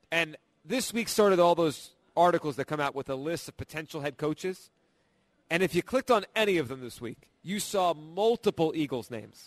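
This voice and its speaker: With an ordinary speaking voice, a man at fairly high pitch talks at a moderate pace with lively intonation, in a dry, close sound with no echo. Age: 30s. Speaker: sports radio host. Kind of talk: sports talk radio. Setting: live broadcast from a casino in Atlantic City.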